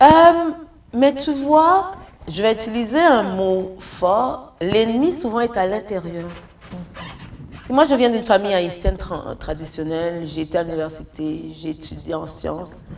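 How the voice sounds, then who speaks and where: Against noticeable background noise, a woman of medium pitch speaks at a fairly slow pace with long, frequent pauses and very wide pitch swings. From Haiti and Congo. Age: 60s. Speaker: entrepreneur. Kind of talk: interview.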